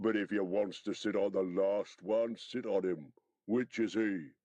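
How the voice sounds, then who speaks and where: In a gruff, raspy, put-on character voice, the speaker goes at a moderate pace. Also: man, fairly low pitch for a man. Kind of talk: audiobook character voicing. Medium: read story. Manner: coarse, gruff, argumentative.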